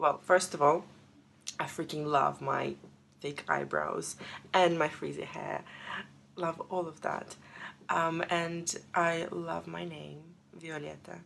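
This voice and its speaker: A woman with a Russian accent speaks very slowly, with long, frequent pauses. Her loudness swings widely. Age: 20s. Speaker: paralegal and artist sharing personal story. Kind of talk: personal testimony.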